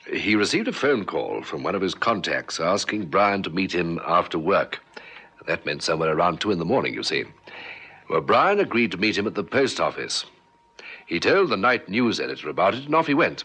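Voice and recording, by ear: A man puts on a character voice, low in pitch with big pitch swings and a fairly quick pace. His tone is bright and sharp, carrying a slightly husky edge.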